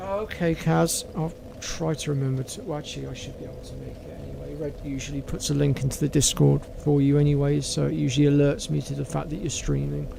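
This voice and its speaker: A man talks at a very fast pace with hardly any pauses. His loudness swings widely, over noticeable background noise. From southwest England, North Devon. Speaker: gaming streamer. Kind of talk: casual chat. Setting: live stream.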